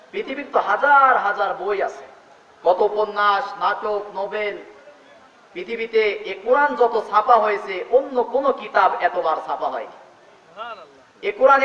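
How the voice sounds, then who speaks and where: A man with a high pitch speaks in a passionate tone. Noticeable background noise can be heard. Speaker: Islamic scholar giving a sermon. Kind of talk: Islamic sermon (waz) talk. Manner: emphatic, passionate preaching.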